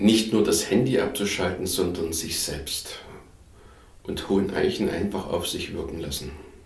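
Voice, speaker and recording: There is audible room echo as a man speaks in a fairly low pitch with ordinary pitch variation. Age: 50s. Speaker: caretaker of a retreat house. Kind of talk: interview.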